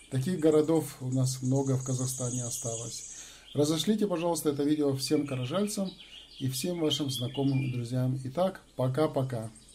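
A man talks at a moderate pace with a fairly high pitch. He has an ordinary speaking voice with ordinary pitch variation. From Kazakhstan, Karazhal. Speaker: YouTube channel host. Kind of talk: casual address to viewers; reading poetry aloud.

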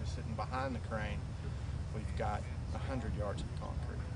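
Loud noise fills the background. The talking proceeds at moderate speed. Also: man. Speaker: wind energy instructor. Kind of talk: interview answer. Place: open country.

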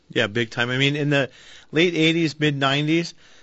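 This man has an unremarkable speaking voice with a fairly high pitch. He talks at a moderate pace against a quiet background. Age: 40s. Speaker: auto repair shop owner and radio co-host; radio co-host. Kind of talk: call-in radio show. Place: studio.

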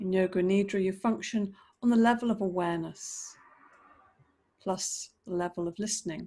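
A woman's dark, mellow tone at a moderate pace, fairly even in intonation, broken by long, frequent pauses. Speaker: yoga teacher. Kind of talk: guided meditation. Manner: gentle, soft-spoken instructive cues. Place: home room.

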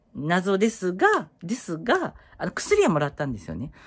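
A man speaks against a quiet background. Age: 30s. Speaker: YouTuber; vlogger. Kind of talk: casual vlog monologue. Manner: halting, many fillers. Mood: concerned but chatty. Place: home room. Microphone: phone near.

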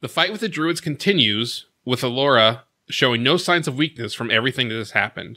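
A man's bright, sharp-toned voice, fairly quick with ordinary pitch variation, over a quiet background. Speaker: recap host. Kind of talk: episode recap narration. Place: home room. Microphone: studio mic.

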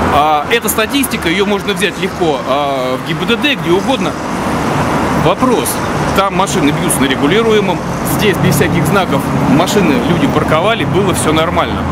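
Loud background noise surrounds a man who speaks with long, frequent pauses. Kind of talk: interview answer. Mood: indignant, arguing a point. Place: street. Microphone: phone near.

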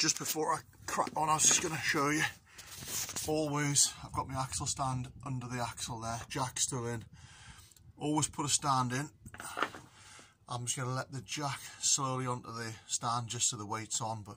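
Light background noise sits behind a man who speaks at a moderate pace with fairly even intonation and long, frequent pauses. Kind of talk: tutorial. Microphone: phone near.

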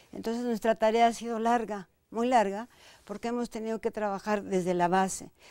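A woman with a dark, mellow tone and fairly even intonation, dry sound with no echo, quiet background. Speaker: dancer and choreographer, dance company director; guest. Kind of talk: interview conversation. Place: studio. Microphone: lapel.

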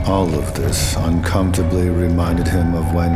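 Through loud background noise, a man talks at a moderate pace. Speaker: narrator. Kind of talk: book trailer narration.

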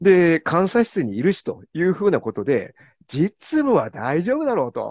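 A man talks at a moderate pace in a high voice with very wide pitch swings. The sound is dry with no echo, against a quiet background. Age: 50s. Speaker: corporate internal auditor; interviewee. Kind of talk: interview. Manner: formal. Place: home room. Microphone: video call.

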